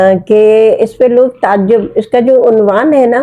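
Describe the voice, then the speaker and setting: The tone is dark and mellow. Pitch variation is ordinary. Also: woman. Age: 70s. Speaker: writer. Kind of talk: interview.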